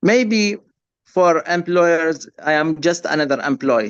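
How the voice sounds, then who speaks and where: A man with an Arabic accent speaks at a fairly slow pace against a quiet background. His pitch is fairly high, with ordinary variation. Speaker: refugee worker, nurse. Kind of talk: webinar testimony. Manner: halting, repeats words.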